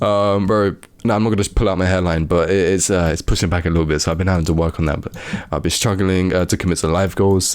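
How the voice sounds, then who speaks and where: Very deep and low in pitch, a man speaks at a very fast pace with fairly even intonation and very even loudness. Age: 20s. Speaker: video editor and YouTuber. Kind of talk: casual talk-to-camera advice video. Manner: casual, many filler words.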